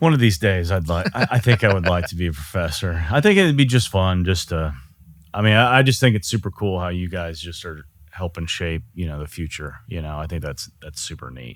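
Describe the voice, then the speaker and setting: On a very clean recording with a silent background, a man with a Texan accent speaks at a fairly quick pace in a very deep, low pitch, his loudness swinging widely. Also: lively intonation. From Texas. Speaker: podcast host. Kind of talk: casual interview chat.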